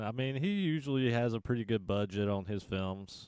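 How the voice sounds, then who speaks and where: With a Southern US accent, a man talks at a medium pitch. His pitch variation is ordinary. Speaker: podcast host. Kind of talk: casual chat.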